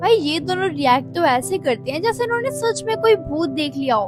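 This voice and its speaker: A woman's enthusiastic tone at a moderate pace, with music in the background. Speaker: anime explainer voice-over. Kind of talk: anime recap narration in Hindi. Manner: casual, chatty, enthusiastic.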